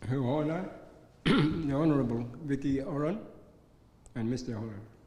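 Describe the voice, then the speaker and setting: A man's somewhat breathy voice carries ordinary pitch variation amid audible room echo. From Arnhem Land, Northern Territory, Australia. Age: 70s. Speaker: community organisation chairman and minister. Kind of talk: formal speech. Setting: reception with audience. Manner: formal.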